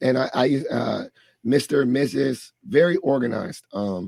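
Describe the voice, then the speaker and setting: Using lively intonation and vocal fry, a man talks in a medium pitch at a moderate pace. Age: 30s. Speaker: podcast host and higher education professional. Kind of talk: interview conversation. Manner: animated.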